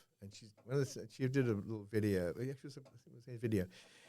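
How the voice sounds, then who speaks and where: Speaking at a very fast pace with ordinary pitch variation, a man is heard on a very clean recording with a silent background. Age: 70s. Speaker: poet and teacher. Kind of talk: casual chat. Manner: halting.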